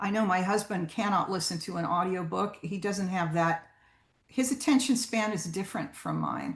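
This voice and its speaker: Medium pitch from a woman with vocal fry, ordinary pitch variation and a moderate pace. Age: 70s. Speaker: guest speaker on audiobooks. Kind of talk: presentation. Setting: video call. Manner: hesitant, many ums.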